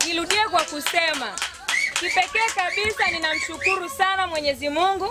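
A woman talks in a raised, projected voice at a moderate pace. Light background noise is present. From Tanzania, Momba area; Tanzania. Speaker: parliamentary candidate; candidate. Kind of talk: campaign speech. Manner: animated. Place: open country.

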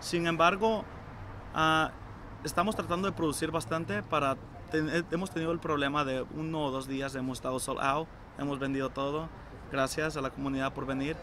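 A man at a moderate pace, with ordinary pitch variation, a dry sound with no echo and light background noise. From El Salvador. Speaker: restaurant co-owner. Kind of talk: interview answers. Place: garden.

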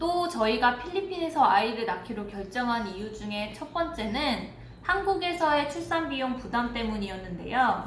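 Speaking at a moderate pace with hardly any pauses, the voice makes very wide pitch swings over light background noise and audible room echo. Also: woman, high pitch for a woman. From South Korea. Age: 20s. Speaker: family vlogger. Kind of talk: casual talk to camera. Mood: calm, reflective storytelling. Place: home room.

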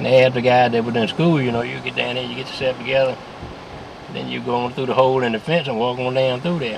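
A man with an American accent talks at a very fast pace with fairly even intonation. The sound is dry with no echo, but there is noticeable background noise. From Virginia. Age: 70s. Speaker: interviewee recalling local history; interviewee. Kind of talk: oral history interview. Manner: halting, many repetitions. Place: car. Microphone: camera far.

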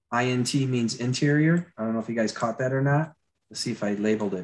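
Fairly even intonation marks this man's speech, delivered with an American accent. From Florida. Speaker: concept artist and attraction designer. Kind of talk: live drawing tutorial; lecture. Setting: video call.

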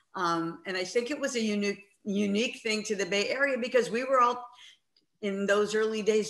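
Delivered at a moderate pace with ordinary pitch variation, the speech has audible room echo over a quiet background. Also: woman. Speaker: rock musician. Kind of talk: interview. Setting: video call. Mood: warm, reminiscing. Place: home room. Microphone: video call.

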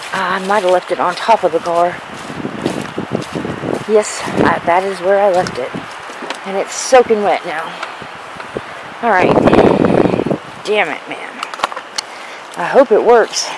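Fairly slow speech broken by long, frequent pauses, over loud background noise. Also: dry sound with no echo. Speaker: urban explorer vlogger. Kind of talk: casual vlog chat. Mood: nervous, excited. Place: open country. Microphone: phone near.

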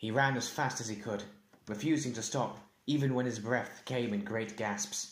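The speaker reads aloud in a natural voice, and the pitch moves in an ordinary way.

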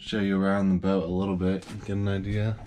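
Over light background noise, a man with a very deep, low pitch and a dark, mellow tone speaks in a monotone, flat intonation. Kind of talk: casual vlog chat. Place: boat. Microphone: phone near.

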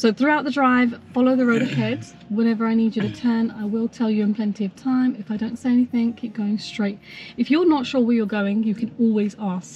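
A woman talks at a fairly quick pace with fairly even intonation. The sound is dry with no echo, and there is light background noise. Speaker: driving instructor. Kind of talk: instructional briefing. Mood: calm, friendly. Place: car. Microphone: camera far.

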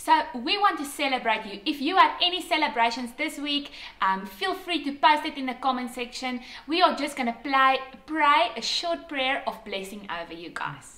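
The speaker uses a raised, projected voice with very wide pitch swings. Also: woman. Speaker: church service host. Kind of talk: welcome announcement and prayer. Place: home room. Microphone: camera far.

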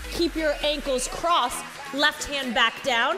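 Clear music plays in the background as a woman speaks. She goes at a very slow pace with ordinary pitch variation. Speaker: fitness instructor. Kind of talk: workout class cueing. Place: studio.

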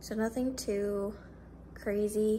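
A woman speaks with a somewhat breathy voice and fairly even intonation over light background noise. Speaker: vlogger. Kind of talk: casual vlog chat. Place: kitchen. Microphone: phone near.

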